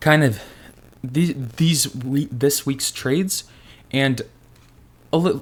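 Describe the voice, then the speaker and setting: A man speaks at medium pitch with fairly even intonation. The recording is very clean with a silent background. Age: 20s. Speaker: fitness and trading vlogger. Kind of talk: casual vlog monologue.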